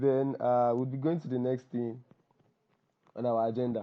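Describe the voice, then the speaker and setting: A man with a Nigerian accent speaks at a moderate pace in a medium pitch. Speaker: copywriter and workshop host. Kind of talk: online workshop introduction. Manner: casual, repetitive.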